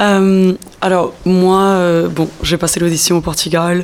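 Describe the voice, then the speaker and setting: Noticeable background noise is present. A woman talks over it. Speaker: radio host. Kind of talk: radio presentation and interview. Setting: studio.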